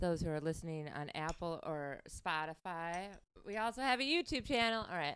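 In an American accent, a woman talks at a moderate pace with lively intonation. It is an ordinary speaking voice on a very clean recording with a silent background. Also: fairly low pitch for a woman. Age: 40s. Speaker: podcast host. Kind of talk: casual chat.

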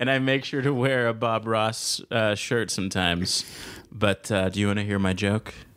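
With an American accent and a plain, everyday voice, a man speaks at a moderate pace and fairly low pitch, his intonation fairly even and his loudness very even. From Los Angeles (South Central). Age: 20s. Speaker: stand-up comedian. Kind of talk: interview.

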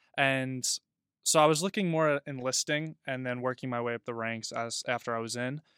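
A man speaks fairly quickly in a bright, sharp tone, at medium pitch with ordinary variation. The recording is very clean and dry, close with no echo and a silent background. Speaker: college student. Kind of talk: casual chat.

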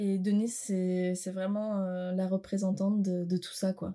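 A woman's medium-pitched voice with a dark, mellow tone, monotone, flat intonation and a fairly slow pace, in a very clean recording with a silent background. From Armenia. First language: Armenian (speaking French). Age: 20s. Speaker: art student. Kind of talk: interview.

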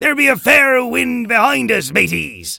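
At a moderate pace, a man performs a put-on character voice. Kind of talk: pirate speech. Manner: bellowing, gruff.

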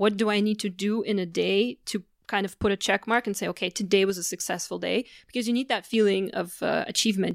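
A woman talks fairly quickly in a normal speaking voice, medium in pitch, with fairly even intonation. The sound is dry and close, with no echo. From Canada. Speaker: blogger and communications consultant. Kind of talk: interview. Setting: host's apartment.

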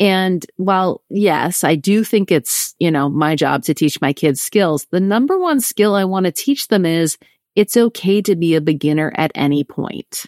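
A woman of medium pitch speaks at a moderate pace with lively intonation. The sound is dry and close, with no echo. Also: very clean recording, silent background. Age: 30s. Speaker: author and coach. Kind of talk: casual chat. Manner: animated.

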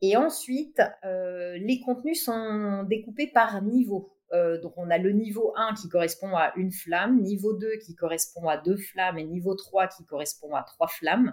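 A woman speaks very slowly at a medium pitch, her pitch varying in an ordinary way. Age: 50s. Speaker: tech entrepreneur. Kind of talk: interview.

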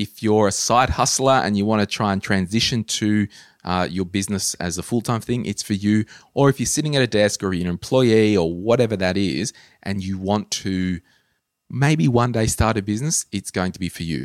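In an Australian accent, a man speaks with a fairly low pitch and ordinary pitch variation. The recording is very clean and the background silent. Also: moderate pace, dry, close sound with no echo. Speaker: podcast host. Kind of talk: casual chat. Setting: studio.

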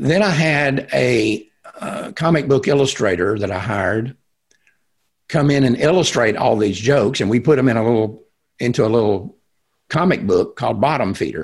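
With a Texan accent, a man speaks at a moderate pace, somewhat breathy and with lively intonation. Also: medium pitch for a man. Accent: Texan American. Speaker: pro-life activist. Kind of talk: interview conversation.

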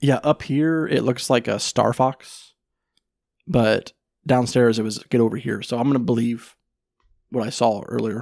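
A man with a medium pitch and ordinary pitch variation speaks at a moderate pace, leaving long, frequent pauses. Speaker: podcast host. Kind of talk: casual chat.

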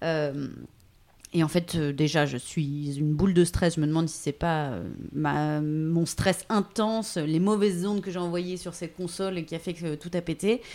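A woman talks at a fairly slow pace in a fairly low voice with a dark, mellow tone. Her pitch variation is ordinary. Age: 30s. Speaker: voice-over artist. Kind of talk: interview. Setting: at her home.

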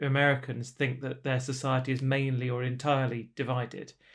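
The speaker is a man with a British accent. He goes at a fairly quick pace. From Britain. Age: 40s. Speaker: author and charity director. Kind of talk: interview conversation. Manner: hesitant fillers.

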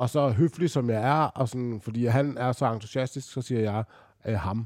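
A man at a medium pitch and moderate pace, with ordinary pitch variation, on a very clean recording with a silent background. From Denmark. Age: 40s. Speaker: retired basketball player. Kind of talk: casual interview storytelling. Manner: halting, many fillers.

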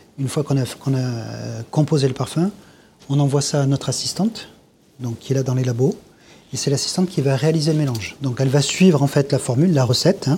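A man speaks at a fairly quick pace in a fairly high voice with a dark, mellow tone. His delivery is somewhat breathy, with ordinary pitch variation. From southern France, Grasse. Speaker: perfumer. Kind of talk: casual chat.

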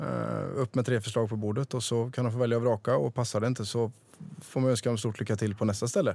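Talking at a very fast pace, a man with a medium pitch has a dark, mellow tone, very even loudness and fairly even intonation. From rural Sweden, small village. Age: 30s. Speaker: restaurant entrepreneur. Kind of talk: interview.

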